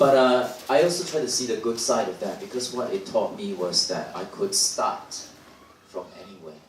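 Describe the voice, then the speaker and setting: Noticeable background noise and audible room echo surround a man of medium pitch who talks at a fairly quick pace. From Singapore. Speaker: dancer. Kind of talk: panel talk. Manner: halting, many repetitions.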